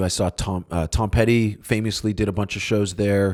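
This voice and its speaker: A man speaks in an ordinary speaking voice at a moderate pace, his pitch fairly low. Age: 40s. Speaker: punk rock musician and podcast host. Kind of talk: casual podcast answering listener questions. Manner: casual, frequent filler words.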